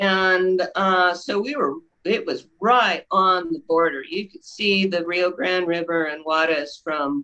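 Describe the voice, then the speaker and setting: At a very slow pace with hardly any pauses, a woman speaks with a bright, sharp tone at medium pitch and ordinary pitch variation. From Texas, El Paso. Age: 60s. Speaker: actress and painter. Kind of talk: interview.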